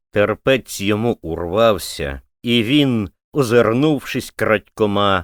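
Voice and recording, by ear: Reading aloud in a natural voice, the speaker uses ordinary pitch variation over a quiet background.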